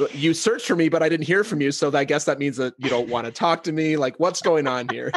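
Talking at a very fast pace in a fairly high pitch, a man is heard over noticeable background noise. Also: ordinary pitch variation. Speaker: podcast host. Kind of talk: casual podcast interview talk.

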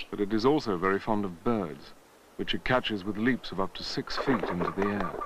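Noticeable background noise sits behind a man whose voice is fairly low. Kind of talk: nature documentary narration. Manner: polished, formal, scripted delivery.

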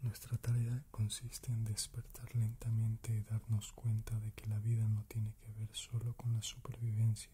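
Whispering and soft-spoken, the speaker goes at a fairly slow pace over light background noise. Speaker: narrator of spiritual text. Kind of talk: reading of spiritual book passage. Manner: soft whispered ASMR reading.

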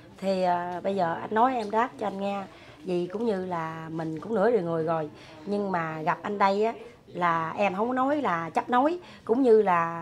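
Light background noise accompanies a woman whose pitch varies in an ordinary way at a moderate pace. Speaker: interviewee. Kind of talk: interview answer. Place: home room. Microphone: camera far.

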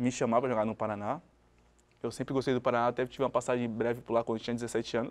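The words come at a very fast pace in a monotone, flat intonation. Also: man, medium pitch for a man. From Brazil, Cubatão (São Paulo coast); São Paulo, Brazil. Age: 30s. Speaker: former professional footballer; guest. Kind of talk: interview. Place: studio. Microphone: lapel.

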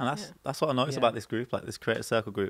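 In a Birmingham accent, a man speaks in a dry sound with no echo. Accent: Birmingham (Brummie) English. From Birmingham, England. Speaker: panel show guest. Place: studio. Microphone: studio mic.

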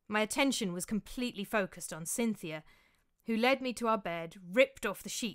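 What we hear is an unforced reading voice.

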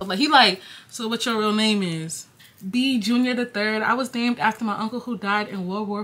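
With an American accent, a woman speaks at a fairly quick pace in an animated tone and a fairly high pitch. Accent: New York accent with Jamaican tinge. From New York, Jamaican family. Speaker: YouTuber. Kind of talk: casual storytime vlog. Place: home room. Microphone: phone near.

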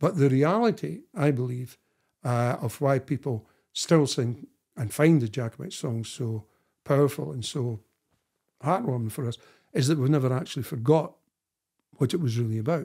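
A man speaks at a moderate pace with a dark, mellow tone, a somewhat breathy quality and ordinary pitch variation. He leaves long, frequent pauses against a quiet background. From Scotland, Dundee; Scotland. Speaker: historian and author; guest. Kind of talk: interview conversation. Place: home room.

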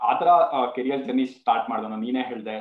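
A man's voice with audible room echo against a quiet background. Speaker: talk show host. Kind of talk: interview question. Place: home room. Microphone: video call.

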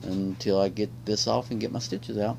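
Over light background noise, a man with a normal speaking voice talks at a moderate pace and fairly low pitch with ordinary pitch variation. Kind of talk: casual vlog chat. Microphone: phone near.

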